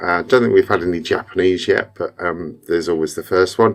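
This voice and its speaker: A man with a British accent. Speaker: car tuner. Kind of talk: live Q&A stream. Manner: hesitant, many fillers.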